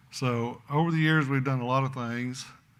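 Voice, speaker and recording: A man with an American accent speaks in a bright, sharp tone at a moderate pace. His intonation is fairly even, and room echo is audible. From Oklahoma. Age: 70s. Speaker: rancher. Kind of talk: conference talk.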